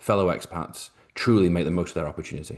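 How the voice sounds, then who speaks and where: Against a quiet background, a man with a British accent speaks at a fairly quick pace with a very deep, low pitch and ordinary pitch variation. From Britain. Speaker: financial advisor. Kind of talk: webinar presentation. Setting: video call.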